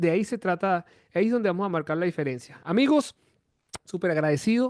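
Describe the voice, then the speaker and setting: With lively intonation and a high pitch, a man talks at a moderate pace in a dry, close recording with no echo. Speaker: music teacher. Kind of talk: online class.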